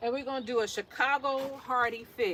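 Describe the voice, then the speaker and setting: The speaker has a New York accent. Noticeable background noise runs under the voice. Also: woman. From New York City. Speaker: gardening vlogger. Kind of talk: casual monologue while potting plants.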